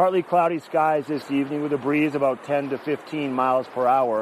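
There is noticeable background noise as a man speaks in a fairly high voice. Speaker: field host and weather presenter. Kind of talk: local TV weather report. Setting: outdoors at a gondola base. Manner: brisk, breezy forecast rattled off number by number; casual and chatty, with small filler asides.

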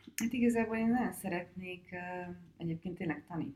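A woman speaks in a dark, mellow tone at a moderate pace. Her pitch varies in ordinary ways. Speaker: film director. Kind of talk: interview.

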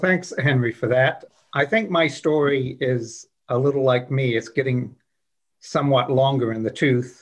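At a moderate pace, a somewhat breathy man talks at medium pitch with ordinary pitch variation. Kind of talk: casual interview.

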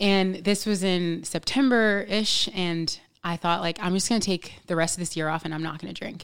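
With an American accent and an unremarkable speaking voice, a woman speaks fairly low in pitch at a moderate pace with hardly any pauses. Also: ordinary pitch variation. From New York City. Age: 30s. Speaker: podcast guest. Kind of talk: casual chat.

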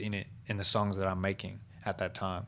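A man with an Australian accent and fairly low pitch, at a moderate pace, in a very clean recording with a silent background. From Southwest Sydney, Australia. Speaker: hip-hop artist. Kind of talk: casual chat.

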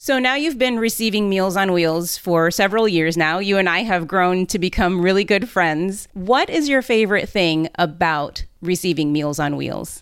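In an ordinary speaking voice, the words come at a moderate pace with lively intonation and hardly any pauses. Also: woman, medium pitch for a woman. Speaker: podcast host and volunteer. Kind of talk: interview.

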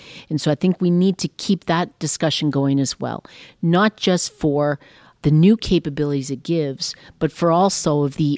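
This woman has a very deep, low voice and a Western Canadian accent. She talks at a moderate pace with ordinary pitch variation, and the sound is dry and close with no echo. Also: very clean recording, silent background. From Saskatchewan, Canada. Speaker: railway company executive. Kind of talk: interview. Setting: company headquarters.

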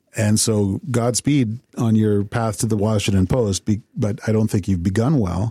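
A man's dark, mellow, somewhat breathy voice with a Canadian accent, fairly low in pitch, at a moderate pace with hardly any pauses, fairly even intonation and very even loudness, in a dry, close sound with no echo. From Canada, Sarnia, Ontario. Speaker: political journalist and pundit. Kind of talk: interview.

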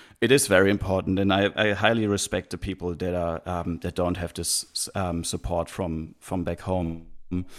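Speaking with a German accent, a man with a very deep, low pitch keeps a moderate pace, hardly any pauses, and fairly even intonation. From Germany, near Heidelberg. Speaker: traveller and podcaster. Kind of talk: interview. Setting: video call. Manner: halting, many fillers.

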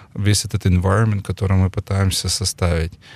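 A man's fairly low, somewhat breathy voice, dry and close with no echo, in a very clean recording with a silent background. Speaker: investment company president and entrepreneur. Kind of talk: interview conversation. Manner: calm, measured.

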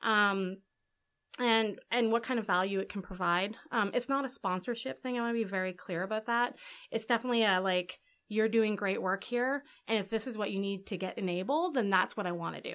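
In a very clean recording with a silent background, a woman uses a plain, everyday voice at a medium pitch and fairly quick pace, with ordinary pitch variation. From Canada, Alberta (Edmonton). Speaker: tech program manager. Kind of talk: casual interview.

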